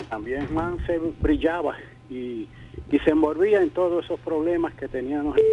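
Noticeable background noise behind a man at a fairly high pitch, ordinary pitch variation and a fairly slow pace. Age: old. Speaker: retired politician. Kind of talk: radio interview. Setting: radio studio.

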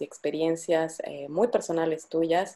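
A woman speaks at a moderate pace with a fairly low pitch and a dark, mellow tone. The background is quiet. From Bolivia. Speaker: podcast host. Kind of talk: interview.

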